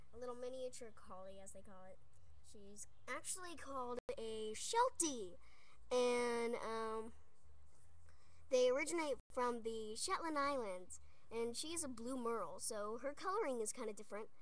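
The speaker keeps a moderate pace broken by long, frequent pauses. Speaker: dog owner. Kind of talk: casual talk to camera. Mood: affectionate, proud. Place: home room. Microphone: webcam.

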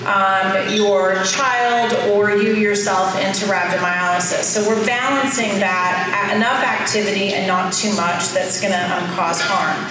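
A woman talks at a fairly slow pace. Strong room echo and noticeable background noise fill the recording. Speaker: conference presenter. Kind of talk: lecture. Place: hall.

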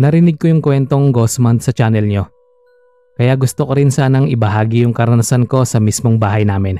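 A man speaks fairly quickly in a normal speaking voice, his medium pitch showing ordinary variation. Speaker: storyteller reading a listener-submitted story. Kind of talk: ghost story telling, first-person scary narration read aloud.

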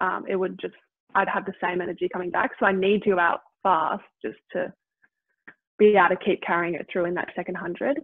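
A woman speaks at a moderate pace, the sound dry with no echo over a quiet background. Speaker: guest. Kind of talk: interview answer. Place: kitchen. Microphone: video call.

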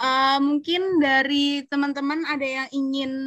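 Against a quiet background, a woman with a high pitch speaks at a very slow pace in a raised, projected voice, her tone bright and sharp and the sound dry with no echo. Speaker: event moderator. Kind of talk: moderating. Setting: video call. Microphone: video call.

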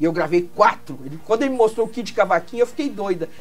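Faint music plays in the background while a woman speaks with lively intonation. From Minas Gerais, Brazil. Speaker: singer. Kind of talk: interview answer. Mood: warm, nostalgic storytelling. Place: studio.

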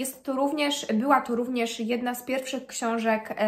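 A woman speaks at a high pitch with monotone, flat intonation. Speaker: book vlogger. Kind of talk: casual vlog chat. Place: home room. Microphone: phone near.

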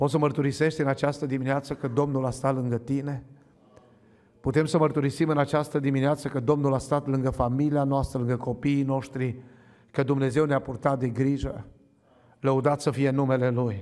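This man's intonation is monotone and flat as he talks at a moderate pace. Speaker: preacher. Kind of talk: sermon. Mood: fervent, thankful. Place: church. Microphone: podium.

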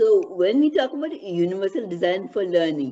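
Speaking with a strong Indian accent, a woman has a medium pitch and a dark, mellow tone. Her pace is moderate, and her pitch swings widely. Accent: Indian, heavy.

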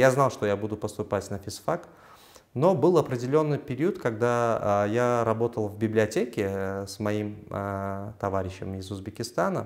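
At a moderate pace, an unremarkable speaking voice moves with ordinary pitch variation over a quiet background. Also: man. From Uzbekistan, Samarkand; Uzbekistan. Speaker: physicist and university assistant lecturer; university assistant lecturer. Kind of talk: interview. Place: office. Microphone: lapel.

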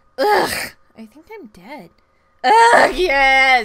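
A female-sounding voice takes on a put-on character voice at a high pitch. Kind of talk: comic overacting. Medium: solo performance. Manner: exasperated, exclamatory.

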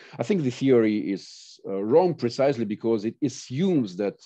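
The voice has a dark, mellow tone and a Russian accent. Behind it, the background is quiet. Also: man. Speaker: professor of political philosophy. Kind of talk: academic lecture. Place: home room. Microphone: video call.

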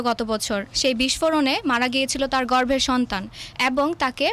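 A woman speaks at a high pitch. Her pitch variation is ordinary. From Bangladesh. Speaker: university student debater. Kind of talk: storytelling debate speech.

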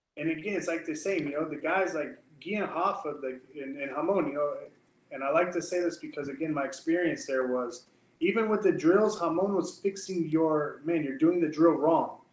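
A man with an American accent, high-pitched for a man, at a moderate pace with audible room echo. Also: ordinary pitch variation. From Texas, Amarillo; Texas. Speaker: jiu-jitsu instructor. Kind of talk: casual interview. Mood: animated, storytelling. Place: office. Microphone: webcam.

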